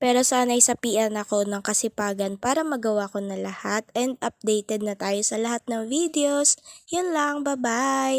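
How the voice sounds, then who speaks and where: Dry and close with no echo, this very clean recording with a silent background has a woman speaking at a moderate pace with hardly any pauses, in a fairly high pitch with ordinary pitch variation. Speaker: vlogger and home baker. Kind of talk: casual vlog narration. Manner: talkative.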